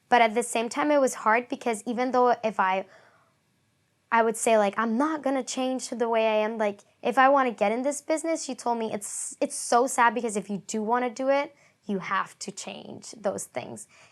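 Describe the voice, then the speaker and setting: At a moderate pace and fairly high pitch, a woman speaks with fairly even intonation in a very clean recording with a silent background. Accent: Spanish. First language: Spanish. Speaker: acting student. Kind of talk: interview testimony.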